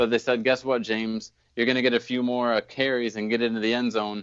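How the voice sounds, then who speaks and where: A man speaking at medium pitch. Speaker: fantasy football podcast host. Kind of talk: sports podcast segment, fantasy advice. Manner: monotone.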